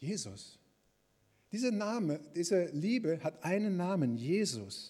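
A man speaks with very wide swings in pitch. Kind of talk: sermon. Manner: warm, earnest and encouraging, with pastoral emphasis; conversational, plain-spoken, lively, and addressing the congregation directly.

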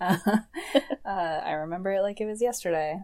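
A woman with an American accent talks at a moderate pace in an ordinary speaking voice. Her pitch is medium, with ordinary variation. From Michigan. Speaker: podcast co-host, marketing professional. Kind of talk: casual chat.

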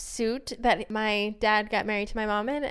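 With a Midwestern American accent, a woman speaks at a moderate pace and a fairly high pitch in a very clean recording with a silent background. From downstate Illinois, small rural town. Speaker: returned Peace Corps volunteer. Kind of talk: casual interview.

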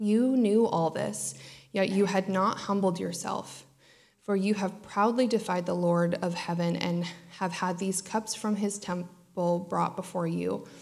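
This is an ordinary speaking voice from a woman with medium pitch. She talks at a fairly slow pace with fairly even intonation. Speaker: scripture reader. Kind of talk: reading aloud. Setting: church.

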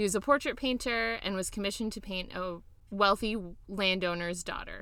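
A woman talks at a fairly quick pace in a medium pitch with ordinary pitch variation. Her tone is bright and sharp. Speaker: podcast co-host. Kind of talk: casual chat. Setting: video call. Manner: animated.

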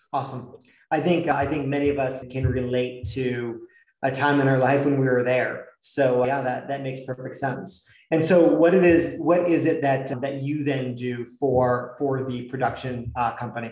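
A man with an American accent speaks at a moderate pace and medium pitch, his voice somewhat breathy. His intonation is fairly even, and room echo is audible. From New York. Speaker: podcast host. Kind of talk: interview; scripted introduction.

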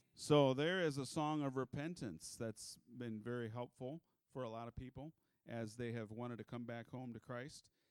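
A plain, everyday voice from a man, medium pitch, moderate pace, ordinary pitch variation, dry, close sound with no echo. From US Midwest, South Dakota. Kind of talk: church talk about his ministry. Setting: church with congregation.

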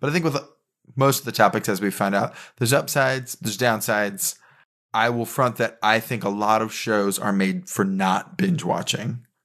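Against a quiet background, a man with an ordinary speaking voice talks at a medium pitch and moderate pace, his intonation lively. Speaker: podcast host. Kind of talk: casual chat.

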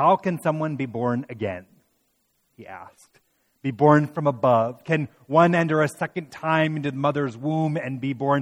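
A man with a fairly high pitch, a moderate pace, ordinary pitch variation and an unremarkable speaking voice. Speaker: pastor. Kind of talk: sermon with scripture reading. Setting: church midweek worship service. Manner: warm, conversational preaching.

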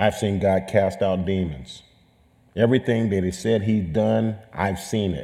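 A man with an American accent and a plain, everyday voice speaks at a fairly slow pace in a fairly low pitch with ordinary pitch variation. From California. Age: 60s. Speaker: coach and speaker at a church gathering. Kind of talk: testimony.

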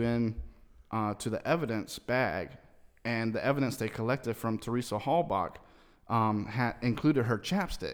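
An unremarkable speaking voice from a man at medium pitch and moderate pace, on a very clean recording with a silent background. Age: 30s. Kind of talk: casual chat.

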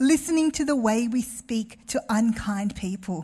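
A somewhat breathy woman with an Australian accent speaks at a fairly slow pace with lively intonation. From Melbourne, Australia. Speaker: guest preacher. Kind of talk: sermon. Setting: church with congregation.

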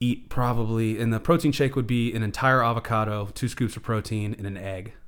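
Here is a man with a normal speaking voice, medium pitch and fairly even intonation. He keeps a moderate pace, and the recording is very clean with a silent background. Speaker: business owner. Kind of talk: casual chat. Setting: in person.

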